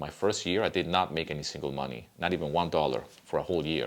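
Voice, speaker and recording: The voice carries vocal fry in a Spanish accent. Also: man. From Venezuela. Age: 50s. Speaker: music composer and YouTuber. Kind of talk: casual vlog talk. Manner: conversational with fillers.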